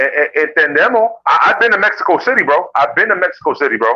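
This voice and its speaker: A man speaks very fast. His tone is bright and sharp. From New York, the Bronx (Puerto Rican family). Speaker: boxing channel host. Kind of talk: casual chat. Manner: fast, halting with repetitions.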